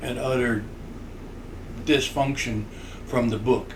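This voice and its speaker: Audible room echo surrounds a man speaking at a fairly slow pace with fairly even intonation. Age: 60s. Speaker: podcast co-host, grandfather. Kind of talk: casual chat.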